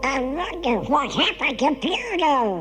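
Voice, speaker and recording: A female-sounding voice performs a put-on character voice at a moderate pace. Clear music plays in the background. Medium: read story.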